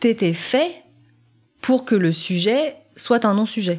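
A woman with a fairly high pitch at a very slow pace. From France. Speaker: adoptee telling her story. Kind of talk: testimony. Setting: sitting on host's sofa.

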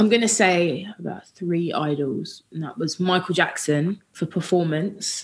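Fairly slow speech from a woman with a southern English accent, pitched fairly low. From Watford, Hertfordshire, England. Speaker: singer. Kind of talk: casual chat.

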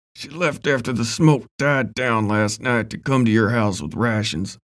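Putting on a character voice, a man speaks at a medium pitch and moderate pace, sounding raspy and strained. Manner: strained, through clenched teeth.

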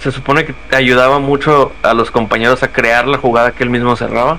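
A man at medium pitch, with noticeable background noise. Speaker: football podcast co-host. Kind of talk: casual chat. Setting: live stream.

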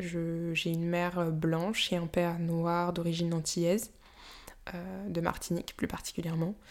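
A woman with a fairly low pitch speaks at a fairly slow pace in a monotone, flat intonation. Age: 20s. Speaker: podcaster. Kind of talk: solo monologue. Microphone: new microphone.

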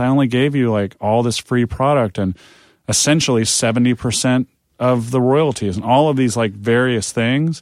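At a moderate pace, this is an ordinary speaking voice with ordinary pitch variation. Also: man. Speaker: music industry professional. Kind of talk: casual interview chat.

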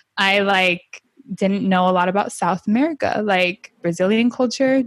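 A woman's unremarkable speaking voice with ordinary pitch variation and a moderate pace, in a dry, close sound with no echo. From US, Honduran family, first generation. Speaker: podcast host and storytelling coach. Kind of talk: casual interview chat.

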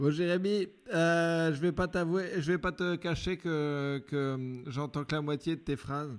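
A man speaks at a very slow pace with ordinary pitch variation, in a very clean recording with a silent background. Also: fairly high pitch for a man. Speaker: comedian podcast host. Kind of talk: casual chat.

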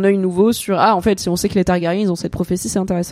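The sound is close and dry, free of echo. The voice has a dark, mellow tone. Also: woman. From Alsace, France. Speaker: content creator and streamer. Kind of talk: casual chat. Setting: live stream.

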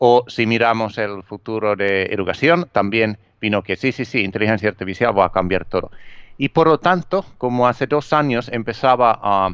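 Medium-pitched male speech with a Finnish accent, at a moderate pace with ordinary pitch variation, over a quiet background. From Finland. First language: Finnish (speaking Spanish). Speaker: author and digital marketing trainer. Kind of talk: interview. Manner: halting, with fillers and repetitions.

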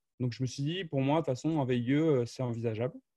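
Over a quiet background, a man talks very fast in a dark, mellow tone of medium pitch with ordinary pitch variation, the sound dry and close with no echo. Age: 20s. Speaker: software marketing professional. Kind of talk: interview.

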